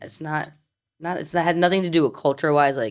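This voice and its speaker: A woman with an American accent talks at a fairly quick pace. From New York, Brooklyn. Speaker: mortgage lender. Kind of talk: casual chat.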